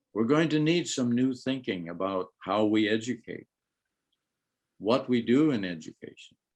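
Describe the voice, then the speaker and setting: The man's pitch is medium. He talks at a moderate pace. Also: quiet background. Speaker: professor. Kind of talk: conference keynote lecture. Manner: loud.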